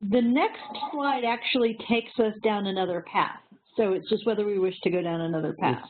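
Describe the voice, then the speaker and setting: Over noticeable background noise, a woman talks at a fairly quick pace and a fairly high pitch, with ordinary pitch variation. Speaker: relationship educator. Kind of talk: live web discussion. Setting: web session. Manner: little inflection.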